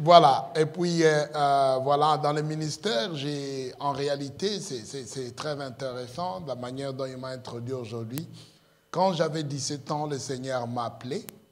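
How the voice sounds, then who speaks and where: There is audible room echo as a man speaks fairly slowly at a fairly high pitch, with ordinary pitch variation and big swings in loudness. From Congo. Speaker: pastor. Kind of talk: sermon. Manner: halting, many hesitations.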